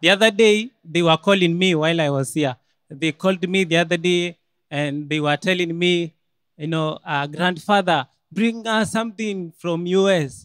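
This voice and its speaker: Against a quiet background with a dry sound and no echo, a man with a Kenyan accent talks at a moderate pace in a high pitch with ordinary pitch variation. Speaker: medical student; student storyteller. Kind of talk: storytelling. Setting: stage with audience. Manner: animated. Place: hall. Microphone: podium.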